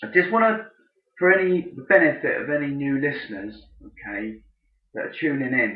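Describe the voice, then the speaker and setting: With an English accent, a man speaks at a fairly high pitch with very wide pitch swings. His loudness rises and falls a lot, and he takes long, frequent pauses. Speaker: podcast host, businessman. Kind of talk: unscripted solo podcast. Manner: slow; deliberate.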